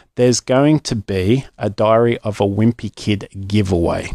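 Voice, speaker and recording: On a very clean recording with a silent background and a dry, close sound with no echo, a man with an Australian accent speaks fairly low and fairly slowly. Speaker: children's story podcast host. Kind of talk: casual announcement to listeners. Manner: casual, chatty with hesitations.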